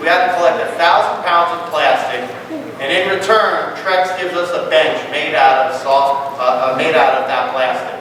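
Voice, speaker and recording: A man with a high-pitched voice speaks loudly. Audible room echo and noticeable background noise surround him. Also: ordinary pitch variation, moderate pace. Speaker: club president. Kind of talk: meeting address to members. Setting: banquet hall with live audience. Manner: animated, halting with restarts. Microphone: no microphone, speaking unamplified.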